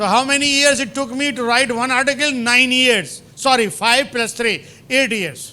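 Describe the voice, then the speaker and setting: In a room with audible echo, a man with an extremely high pitch projects a raised voice at a moderate pace. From India. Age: 70s. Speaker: professor. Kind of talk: lecture. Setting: lecture hall with audience. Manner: animated.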